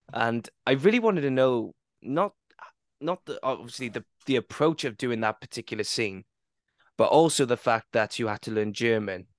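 Against a quiet background, a man with a medium pitch and a Welsh accent speaks at a moderate pace, with a dry, close sound with no echo. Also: ordinary pitch variation. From Wales. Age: 20s. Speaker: podcast host. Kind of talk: casual chat.

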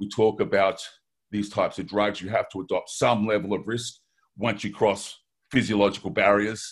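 Against a quiet background, a man speaks in a flat monotone at a fairly low pitch. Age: 50s. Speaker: athlete and PED harm-reduction advocate. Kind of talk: casual interview. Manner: fast talker.

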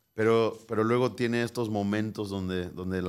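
A man with a Mexican accent and fairly even intonation, in a very clean recording with a silent background. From Mexico, Michoacán. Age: 20s. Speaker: pastor. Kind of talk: interview.

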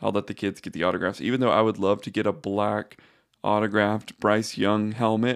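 Over a quiet background, a man with an unremarkable speaking voice talks at a fairly quick pace with fairly low pitch. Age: 20s. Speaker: sports podcast host. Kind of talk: solo podcast commentary. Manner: casual, conversational.

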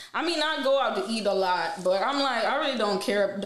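Woman with an American accent and lively intonation, in a room with audible echo. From Queens, New York and Jamaica. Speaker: gamer and streamer. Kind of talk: casual interview chat.

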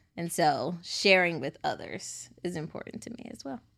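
On a very clean recording with a silent background, a woman with a fairly low pitch talks with lively intonation and vocal fry. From Chicago. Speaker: interview guest sharing her life story. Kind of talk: podcast interview.

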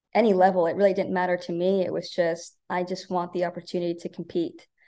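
A woman with an American accent speaks at medium pitch in a dark, mellow tone. The background is quiet. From Nebraska, Omaha. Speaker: college golf coach. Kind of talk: interview.

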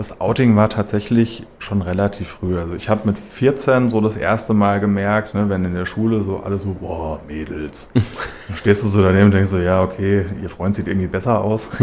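A man's fairly low voice, a plain, everyday voice, at a moderate pace with fairly even intonation and hardly any pauses. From Hesse, Germany (Schlüchtern, Main-Kinzig). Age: 30s. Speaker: mayoral candidate. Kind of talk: radio interview. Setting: radio studio.

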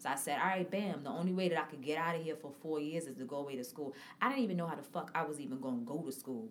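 A woman with a very deep, low pitch speaks at a very fast pace with hardly any pauses. Noticeable background noise and audible room echo surround her. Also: ordinary pitch variation. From Harlem, New York City. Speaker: podcast host. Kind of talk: casual chat.

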